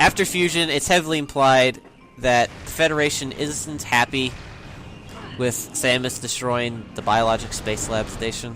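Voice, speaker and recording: Over music in the background, a man at medium pitch talks at a fairly slow pace with ordinary pitch variation and long, frequent pauses. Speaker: video game let's play commentator. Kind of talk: casual gameplay commentary chat. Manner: loud.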